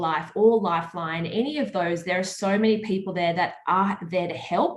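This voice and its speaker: A woman speaks at a medium pitch with an Australian accent and ordinary pitch variation. Audible room echo surrounds her voice. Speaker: media personality and charity swimmer. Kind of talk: interview.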